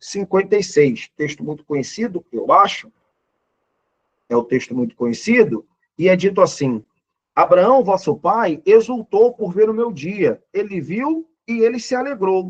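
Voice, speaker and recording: Recorded dry and close with no echo, a man with a high-pitched voice speaks at a fairly slow pace, his pitch swinging very widely. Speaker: pastor and Bible teacher. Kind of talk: Bible lesson lecture.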